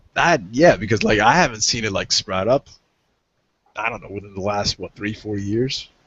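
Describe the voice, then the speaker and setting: With a plain, everyday voice and an American accent, a man speaks at a moderate pace in a fairly low pitch. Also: ordinary pitch variation. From USA. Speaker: online show host. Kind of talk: casual chat.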